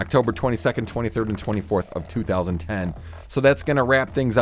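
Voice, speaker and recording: A man's lively intonation rises over music in the background. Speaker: freeform radio DJ and podcast host. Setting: radio studio. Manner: loose, run-on, self-correcting chatter with frequent 'uh' fillers and repeated phrases.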